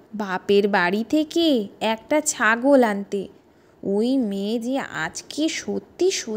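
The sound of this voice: The clip features an unforced reading voice.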